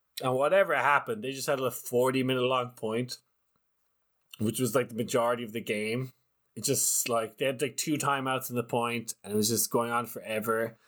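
On a very clean recording with a silent background, a man with an Irish accent talks at a fairly quick pace and medium pitch with fairly even intonation. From Ireland. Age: 30s. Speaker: ultimate frisbee commentator. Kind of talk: casual interview.

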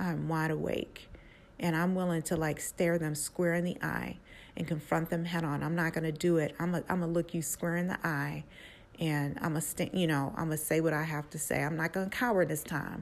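A woman speaks at a fairly quick pace with a fairly low pitch and fairly even intonation. The recording is very clean, with a silent background. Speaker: podcast host sharing her own story. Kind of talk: angry rant, defiant personal testimony. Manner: heated, defiant, emphatic, forceful.

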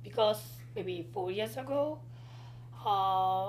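A woman's very deep, low, somewhat breathy voice moves through very wide pitch swings. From South Korea. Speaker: guest, artist and student. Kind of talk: casual interview chat.

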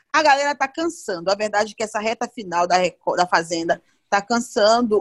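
With an ordinary speaking voice, a woman talks at a moderate pace and medium pitch with lively intonation, the sound dry and close with no echo and the recording very clean over a silent background. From Belém, Brazil. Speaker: podcast co-host, celebrity reporter. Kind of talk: casual chat.

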